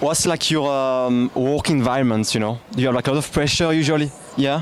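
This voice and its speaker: A man with a French accent speaks at a fairly quick pace and fairly high pitch, his intonation fairly even, with noticeable background noise behind him. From France. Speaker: YouTuber interviewer. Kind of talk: vlog intro to camera; casual interview.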